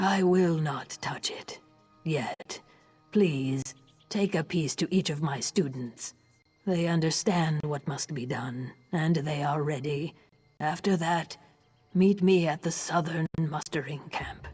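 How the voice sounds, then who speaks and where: At a fairly slow pace, someone performs a put-on character voice pitched in the middle range. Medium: video game. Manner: solemn, measured.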